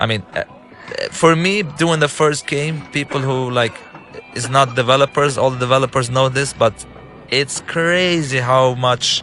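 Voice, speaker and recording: Over noticeable background noise, a man with an Arabic accent speaks at medium pitch and a fairly slow pace, with ordinary pitch variation. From Lebanon. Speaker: game director and filmmaker. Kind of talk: gameplay commentary. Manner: halting, many fillers and restarts.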